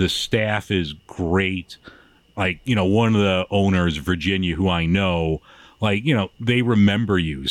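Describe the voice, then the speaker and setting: A man with a very deep, low pitch, ordinary pitch variation and a fairly slow pace. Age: 50s. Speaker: beer podcaster. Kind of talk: casual chat.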